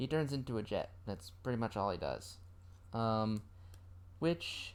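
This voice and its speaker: Over a silent background in a very clean recording, the speech moves at a fairly slow pace. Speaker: toy unboxing vlogger. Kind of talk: casual unboxing ramble. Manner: hesitant, many ums; trying to speak louder.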